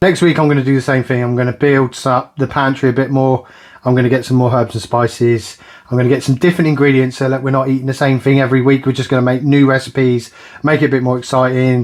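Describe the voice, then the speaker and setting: A man speaks very fast with a British accent in a medium pitch. His intonation is monotone and flat. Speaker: budget cooking vlogger. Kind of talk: casual vlog talk to camera.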